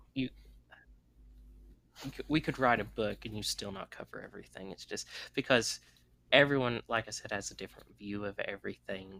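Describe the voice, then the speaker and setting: Speaking with a Southern US accent, a man keeps a moderate pace. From US South. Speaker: podcast host. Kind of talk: casual chat.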